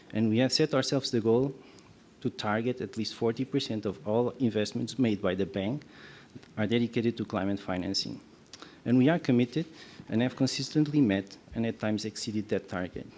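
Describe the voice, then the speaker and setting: Soft-spoken, a man talks at a fairly quick pace in a medium pitch with a dark, mellow tone and ordinary pitch variation. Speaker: development bank representative. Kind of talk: prepared panel statement. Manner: halting.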